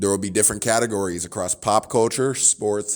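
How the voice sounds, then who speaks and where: On a very clean recording with a silent background, a man with an American accent has an ordinary speaking voice, fairly low in pitch with fairly even intonation. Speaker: student podcast host. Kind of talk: podcast interview.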